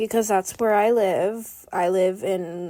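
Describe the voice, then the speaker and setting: A voice with a Pacific Northwest accent speaks at a very slow pace in a flat monotone. The tone is dark and mellow, and the recording is very clean with a silent background. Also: woman. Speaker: beginner art content creator. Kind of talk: casual vlog narration while drawing. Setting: at home desk. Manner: chatty, lots of fillers.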